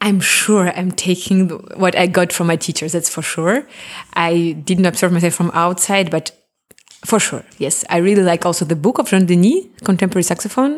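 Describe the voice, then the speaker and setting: The pace of this speaker is moderate. The words come in a Russian accent. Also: woman, fairly low pitch for a woman, ordinary pitch variation. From Crimea, Russian-speaking; moved to Germany as a teen. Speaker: classical saxophonist. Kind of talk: interview.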